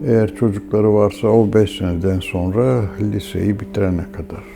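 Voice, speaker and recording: A man with a fairly low voice speaks at a moderate pace while noticeable background noise runs underneath. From Istanbul, Turkey. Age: 80s+. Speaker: pharmacist. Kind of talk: documentary interview.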